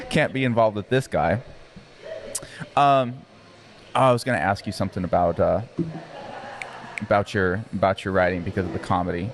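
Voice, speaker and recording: Over noticeable background noise, a man with an American accent speaks at a fairly quick pace in a fairly low pitch, with long, frequent pauses. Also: ordinary pitch variation. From Arizona. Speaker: podcast host. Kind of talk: casual chat.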